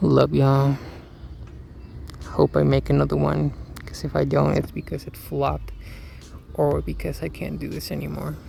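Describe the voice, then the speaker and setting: With long, frequent pauses, a man speaks at a very deep, low pitch over noticeable background noise. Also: fairly even intonation. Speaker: first-time video creator. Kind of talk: scripted monologue; casual chat. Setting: outdoors. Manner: fast. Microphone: poor audio, hard to hear.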